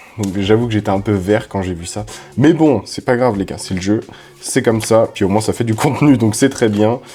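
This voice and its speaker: A man speaks in an animated tone with ordinary pitch variation. There is noticeable background noise. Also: fairly low pitch for a man, moderate pace. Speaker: Pokémon card YouTuber. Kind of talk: card opening chat. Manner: casual, animated.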